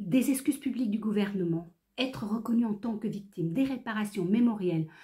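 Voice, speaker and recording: At a fairly slow pace, a woman speaks in a medium pitch with a somewhat breathy voice and a dark, mellow tone. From France (Creuse), born in Réunion. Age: 60s. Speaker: activist. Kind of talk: prepared statement. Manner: formal.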